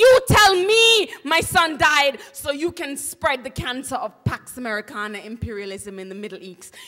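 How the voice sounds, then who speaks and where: Over music in the background, a woman with a high pitch and an angry tone speaks in a raised, projected voice at a moderate pace, hardly pausing, her pitch swinging very widely and her loudness in big swings. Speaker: poet and spoken word artist. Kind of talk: dramatic reading of a protest speech. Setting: live stage reading before an audience. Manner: impassioned, angry.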